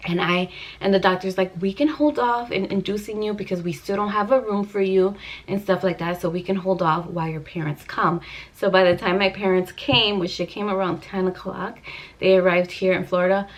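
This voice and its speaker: This woman speaks at a fairly quick pace in a medium pitch. Her pitch varies in an ordinary way, and there is noticeable background noise. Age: 30s. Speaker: vlogger. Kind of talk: casual storytelling vlog. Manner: emotional.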